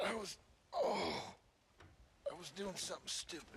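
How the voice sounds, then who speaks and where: In a raspy, put-on character voice, a man speaks at a moderate pace with a high pitch. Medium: video game. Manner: laconic, dry.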